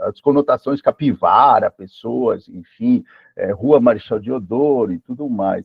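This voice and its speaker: At a fairly slow pace, a man talks with very wide swings in pitch. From Peru. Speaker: live presenter on AI. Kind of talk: online lecture. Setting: live stream. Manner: hesitant, many fillers.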